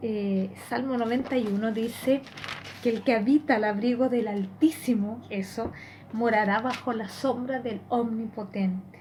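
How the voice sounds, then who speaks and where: Noticeable background noise and audible room echo surround a woman whose fairly high pitch holds fairly even intonation. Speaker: lay preacher. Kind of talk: sermon.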